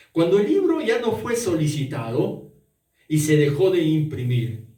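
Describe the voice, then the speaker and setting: A man speaks very slowly in a dark, mellow, somewhat breathy voice with a fairly high pitch. His intonation is lively, and room echo is audible. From Peru, Arequipa. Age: 60s. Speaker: pastor. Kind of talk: sermon.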